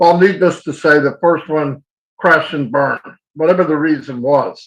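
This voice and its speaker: A man talks at a moderate pace in a normal speaking voice. His pitch sits fairly high. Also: ordinary pitch variation. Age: 60s. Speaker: online business promoter. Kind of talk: webinar presentation. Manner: casual.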